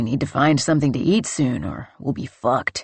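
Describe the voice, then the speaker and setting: Putting on a growling character voice, a man talks at a fairly quick pace, with a medium pitch and ordinary pitch variation. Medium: read story.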